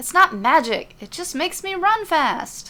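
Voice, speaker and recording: Very wide pitch swings in a put-on character voice. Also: woman. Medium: read story.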